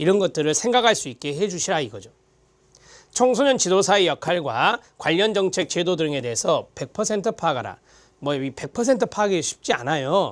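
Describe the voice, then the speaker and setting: At a moderate pace, a man speaks in a high pitch with very wide pitch swings, in a very clean recording with a silent background. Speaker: lecturer. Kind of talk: lecture.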